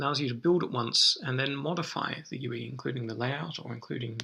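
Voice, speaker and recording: With a bright, sharp tone and vocal fry, a man of medium pitch talks at a fairly quick pace with lively intonation. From Australia. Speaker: software product manager. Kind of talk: webinar presentation. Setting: live webinar.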